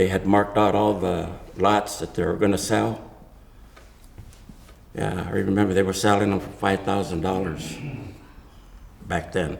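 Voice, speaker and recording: Over noticeable background noise, a man speaks at a moderate pace with a very deep, low pitch. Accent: American. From Santa Monica / Venice, California. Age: 80s+. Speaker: Mexican American community elder. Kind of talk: oral history interview answer. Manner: casual, halting.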